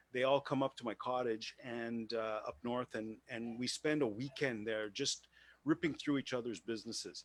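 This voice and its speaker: Man with a Quebec accent and medium pitch, dry and close with no echo, in a very clean recording with a silent background. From Quebec, Montreal. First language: French. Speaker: business owner networking participant. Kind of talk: casual chat. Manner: halting.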